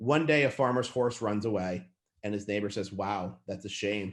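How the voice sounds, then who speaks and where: Speaking with an animated tone, a man with a fairly low pitch shows ordinary pitch variation against a quiet background. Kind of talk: lecture. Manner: fast.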